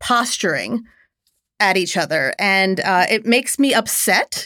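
A woman with an American accent and a bright, sharp tone at a very slow pace, in a dry, close, very clean recording with no echo and a silent background. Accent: mild Philadelphia accent, mostly trained out. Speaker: litigant, daughter in family dispute. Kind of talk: casual chat. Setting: recording studio.

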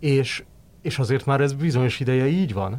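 On a very clean recording with a silent background, a man talks in an ordinary speaking voice at a moderate pace with ordinary pitch variation. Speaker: sports journalist. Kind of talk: casual chat.

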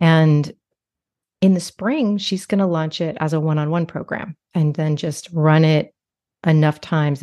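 A woman with a very deep, low pitch and a dark, mellow tone speaks at a moderate pace with fairly even intonation, in a dry, close sound with no echo over a quiet background. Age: 50s. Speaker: business coach for therapists, former therapist. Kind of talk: casual interview conversation.

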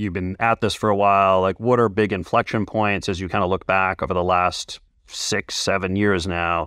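In an ordinary speaking voice, a man with a fairly low pitch talks at a fairly quick pace on a very clean recording with a silent background. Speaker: podcast host and business coach. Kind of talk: casual interview chat. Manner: conversational, fillers like kinda.

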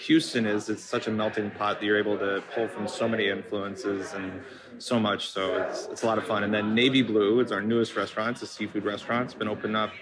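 Over noticeable background noise, a man talks at a fairly quick pace with a fairly low pitch and fairly even intonation. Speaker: chef and restaurant owner. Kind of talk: casual interview chat.

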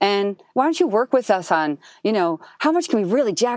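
In an American accent, a woman speaks at a moderate pace with very wide pitch swings on a very clean recording with a silent background. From Jersey City, New Jersey. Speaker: urban farming entrepreneur and nutritionist. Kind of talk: interview conversation. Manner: many fillers and false starts.

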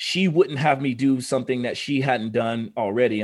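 In an American accent, a man with an ordinary speaking voice talks at a moderate pace with ordinary pitch variation. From Oklahoma. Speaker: biohacker and fitness expert. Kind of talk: casual interview chat. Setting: video call.

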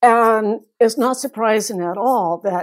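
A woman with an American accent has a normal speaking voice, fairly high in pitch, with ordinary pitch variation. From US South, North Carolina. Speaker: folklore professor. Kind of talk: interview.

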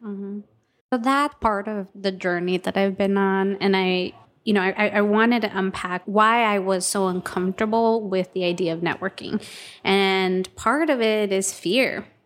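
In a very clean recording with a silent background, a woman speaks in a normal speaking voice. Her pitch is medium, her pace moderate, and her intonation fairly even. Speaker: podcast co-host. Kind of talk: casual interview chat.

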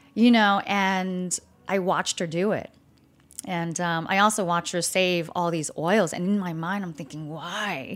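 A woman with an American accent speaks at a medium pitch and a fairly slow pace, with fairly even intonation, in an unremarkable speaking voice. The recording is very clean, with a silent background. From California. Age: 40s. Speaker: restaurant owner. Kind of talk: interview.

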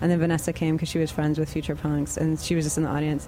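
A woman speaks with an American accent at a fairly low pitch. Noticeable background noise sits behind her. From Austin, Texas. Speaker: musician in a band. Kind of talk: casual interview. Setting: studio.

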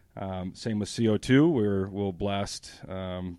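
The sound is dry and close with no echo as a man with an American accent speaks at a fairly low pitch over a quiet background. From New Hampshire, US. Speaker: extraction lab manager. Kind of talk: interview.

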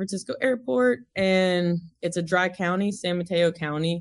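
At a fairly slow pace, a woman with an American accent talks in an ordinary speaking voice with a fairly low pitch. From US South, Tennessee (Mount Juliet near Nashville). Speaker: cannabis entrepreneur. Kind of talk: casual interview.

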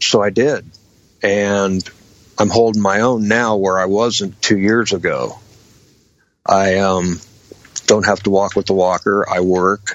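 A man with an American accent speaks at a fairly slow pace and a fairly low pitch, leaving long, frequent pauses. His loudness stays very even and his intonation is monotone and flat. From Washington state, US Pacific Northwest. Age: 50s. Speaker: patient with MS and lung cancer. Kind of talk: interview.

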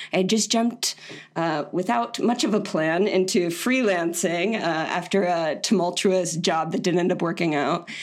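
Amid noticeable background noise, a woman with an American accent speaks at a moderate pace and a fairly low pitch, with ordinary pitch variation and very even loudness. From Florida. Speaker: designer and online community founder. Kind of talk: casual interview.

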